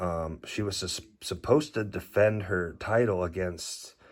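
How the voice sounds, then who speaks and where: Mumbling at a fairly slow pace, a man with a very deep, low pitch and ordinary pitch variation is heard on a very clean recording with a silent background. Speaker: trading card collector. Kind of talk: casual card haul review. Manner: halting.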